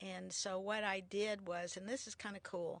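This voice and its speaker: A woman speaks at a fairly slow pace with vocal fry and fairly even intonation. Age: 70s. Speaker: motivational speaker and founder of a self-esteem program. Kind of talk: interview.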